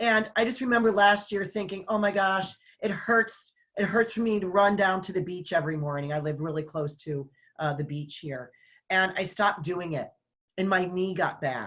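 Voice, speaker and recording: A woman speaks in a plain, everyday voice at medium pitch and a moderate pace. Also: ordinary pitch variation. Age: 60s. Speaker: online summit host and business owner. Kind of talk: casual conversation.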